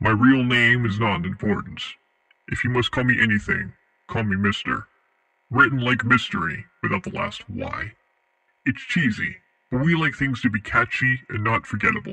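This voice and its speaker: Using a put-on character voice at a medium pitch, a man speaks with long, frequent pauses. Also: moderate pace. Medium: audio drama. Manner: cryptic, measured.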